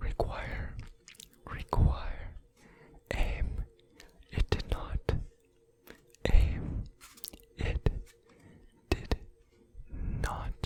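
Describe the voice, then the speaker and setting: Someone whispers at a very slow pace with long, frequent pauses over noticeable background noise. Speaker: ASMR gaming content creator. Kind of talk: ASMR gameplay commentary. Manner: soft-spoken, whispering.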